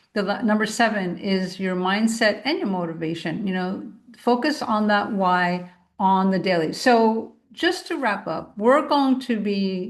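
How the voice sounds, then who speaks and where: The room echo is audible as a woman speaks at a fairly slow pace. Her pitch is medium, with ordinary variation. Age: 60s. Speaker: podcast host, naturopath. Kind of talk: solo podcast monologue. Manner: casual, conversational.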